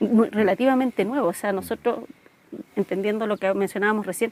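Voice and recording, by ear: A woman talks at a fairly quick pace with ordinary pitch variation and a slightly mellow tone, her sound dry and close with no echo. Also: medium pitch for a woman.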